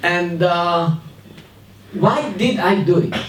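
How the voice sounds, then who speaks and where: Room echo can be heard as a man talks with a high pitch. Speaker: academic researcher, panelist. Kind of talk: panel discussion speech. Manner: hesitant, with fillers.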